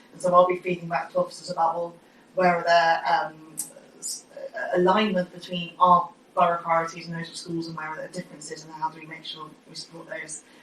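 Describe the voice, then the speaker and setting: Against noticeable background noise, a woman talks at a fairly quick pace and fairly low pitch, her intonation monotone and flat but her loudness swinging widely. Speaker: cabinet member for education. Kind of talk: committee meeting report. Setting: council committee room. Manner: fast.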